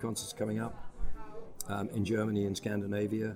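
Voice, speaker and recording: A man talks at a moderate pace with a fairly low pitch and fairly even intonation. Noticeable background noise is present. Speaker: musician. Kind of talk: casual interview. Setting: backstage.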